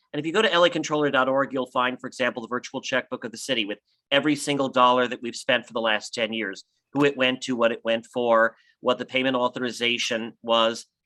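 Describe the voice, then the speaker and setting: The voice is bright and sharp, moving at a very fast pace with fairly even intonation. The sound is dry and close with no echo, over a quiet background. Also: man, medium pitch for a man. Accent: American. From Los Angeles, US. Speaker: political candidate, city official. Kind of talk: campaign speech.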